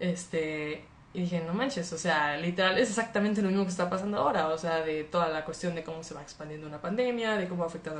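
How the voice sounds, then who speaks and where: Very rapid delivery with audible room echo, noticeable background noise, and ordinary pitch variation. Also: woman. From Monterrey, Mexico. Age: 20s. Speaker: livestreamer. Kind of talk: casual chat. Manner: animated.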